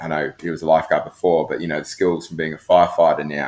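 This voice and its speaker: A man with a New Zealand accent talks at a very fast pace. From New Zealand, Christchurch. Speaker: professional lifeguard. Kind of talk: podcast interview. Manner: hesitant, many fillers.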